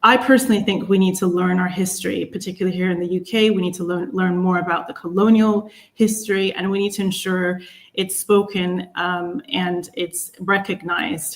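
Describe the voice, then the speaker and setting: Speaking at a moderate pace in an American accent, a woman uses a normal speaking voice of medium pitch with fairly even intonation. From United States. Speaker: panelist. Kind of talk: panel discussion.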